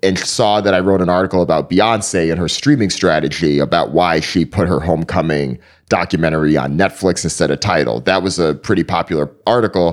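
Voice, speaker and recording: A man with an American accent and a very deep, low pitch talks at a fairly quick pace with vocal fry, hardly any pauses, very even loudness and ordinary pitch variation. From Connecticut, US (East Hartford), Jamaican parents. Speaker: media company founder, journalist. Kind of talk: interview.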